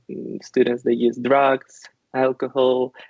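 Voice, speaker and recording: Speaking at a very slow pace, a man holds a medium pitch in a monotone, flat intonation. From Ukraine. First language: Ukrainian. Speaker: IT company worker. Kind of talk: interview. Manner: halting, many fillers.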